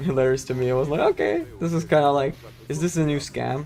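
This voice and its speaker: Noticeable background noise sits under this man's voice. He talks with a fairly high pitch at a fairly quick pace. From Germany. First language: German. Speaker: video game streamer. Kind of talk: casual chat while livestreaming gameplay. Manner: animated.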